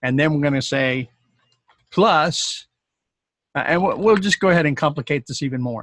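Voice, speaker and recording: A man's fairly high voice, dry and close with no echo. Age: 60s. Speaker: YouTube tutorial creator, programmer. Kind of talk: tutorial. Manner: casual, hesitant with many fillers.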